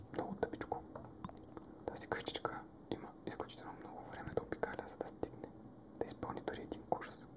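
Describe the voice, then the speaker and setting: A man is whispering. He keeps a moderate pace. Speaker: ASMR gaming creator. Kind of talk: ASMR gaming commentary. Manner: whispered. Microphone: studio mic.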